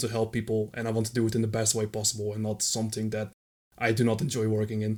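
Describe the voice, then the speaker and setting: On a very clean recording with a silent background, a man with a Dutch accent and medium pitch talks at a very fast pace. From Netherlands. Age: 20s. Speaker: retro gaming community volunteer. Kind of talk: podcast interview.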